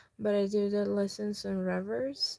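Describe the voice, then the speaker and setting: Over a very slow pace, a woman talks in a medium pitch with a dark, mellow tone. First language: Spanish. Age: 20s. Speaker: YouTuber and language teacher. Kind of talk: casual chat.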